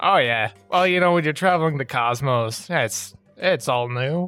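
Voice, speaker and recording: A put-on character voice at a moderate pace over faint music in the background. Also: man, fairly high pitch for a man. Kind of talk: comic character voice. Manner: cheery, bubbly, giggling; shifty when questioned.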